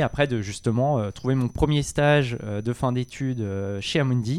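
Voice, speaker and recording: An ordinary speaking voice, a man at a moderate pace with ordinary pitch variation, on a very clean recording with a silent background. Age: 30s. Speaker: real estate fund manager. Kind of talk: interview.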